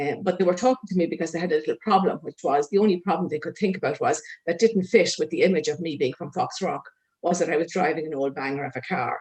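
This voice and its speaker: The speaker has an Irish accent. The pace is very fast. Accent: Meath Louth Irish accent, retained. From Ireland, Meath/Louth. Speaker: social worker. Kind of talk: conference talk. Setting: conference.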